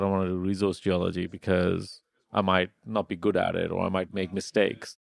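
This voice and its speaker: A man speaks at a fairly quick pace in an unremarkable speaking voice against a quiet background. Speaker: podcast host. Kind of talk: casual interview.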